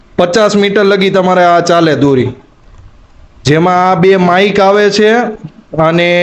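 The pitch varies in an ordinary way. Noticeable background noise runs underneath. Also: man. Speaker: vlogger. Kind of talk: product review; casual vlog narration.

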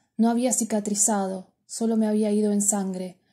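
In a very clean recording with a silent background, a woman with a fairly high pitch speaks in a monotone, flat intonation with a playful tone, a somewhat breathy voice and a dark, mellow tone. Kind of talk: poem reading aloud. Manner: intimate, confessional, wistful with playful irony.

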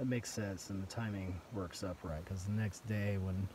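Through noticeable background noise, a man with a very deep, low voice talks at a fairly quick pace. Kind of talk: casual vlog chat. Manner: weak, tired voice of a sick man. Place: tent. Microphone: phone near.

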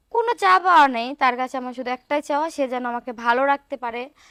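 A woman with a high voice speaks with lively intonation. The recording is very clean, dry and close, with a silent background and no echo. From Bangladesh, Rajshahi. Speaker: interviewee seeking a husband. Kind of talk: interview.

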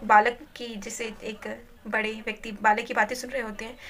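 A woman speaks at a moderate pace. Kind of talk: religious commentary. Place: home room. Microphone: phone near.

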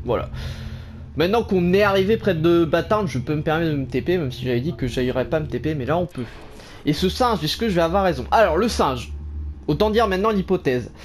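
Lively intonation marks this man's fairly high-pitched voice as he talks at a fairly quick pace. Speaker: gaming YouTuber. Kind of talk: let's play commentary. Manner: animated.

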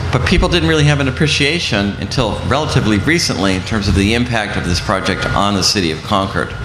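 Noticeable background noise sits behind a man talking at a very fast pace in a fairly low pitch. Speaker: city councilor. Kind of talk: panel discussion. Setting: stage with audience. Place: tent.

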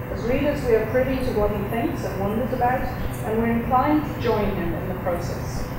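A woman speaks at a fairly quick pace with hardly any pauses, amid loud background noise and audible room echo. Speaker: professor. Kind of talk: speech introduction. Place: hall. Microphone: podium.

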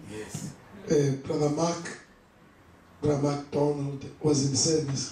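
A man speaks at a fairly slow pace over light background noise, with audible room echo. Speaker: preacher. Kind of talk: sermon. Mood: warm, lightly amused. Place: church.

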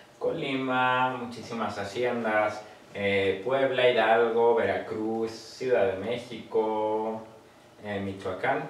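In a room with audible echo and light background noise, a man speaks very slowly with monotone, flat intonation. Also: medium pitch for a man. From Mexico. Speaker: urban explorer and content creator; content creator. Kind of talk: casual chat. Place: studio.

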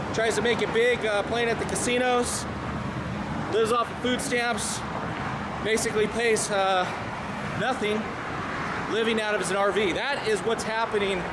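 Over loud background noise, a man speaks at a moderate pace. He leaves long, frequent pauses. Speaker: vlogger. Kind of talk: casual vlog commentary. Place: street. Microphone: phone near.

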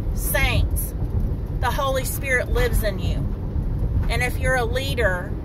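Against loud background noise, a woman speaks at a fairly slow pace in a dry recording with no echo. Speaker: street minister. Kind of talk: preaching vlog. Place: car. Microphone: phone near.

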